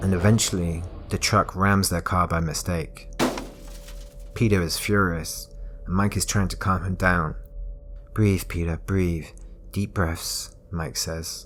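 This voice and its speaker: Soft-spoken and very deep in pitch, a man talks fairly slowly in a monotone, flat way with long, frequent pauses. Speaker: storyteller. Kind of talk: bedtime thriller story reading.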